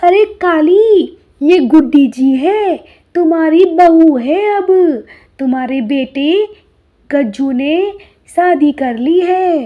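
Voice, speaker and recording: In a cartoonish character voice, a woman speaks at an extremely high pitch with lively intonation. Her pace is very slow. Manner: warm, motherly.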